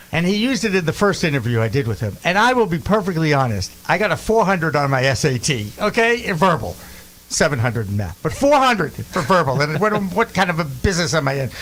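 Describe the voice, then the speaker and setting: A man talking at a very fast pace with very wide pitch swings, amid noticeable background noise. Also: fairly high pitch for a man. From Boston. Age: 60s. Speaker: podcast host. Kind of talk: casual chat.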